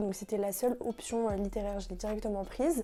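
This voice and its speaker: The voice shows ordinary pitch variation, with music in the background. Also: woman. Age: 20s. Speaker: law student, founder of a student association. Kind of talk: interview answers, casual. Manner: hesitant, many fillers.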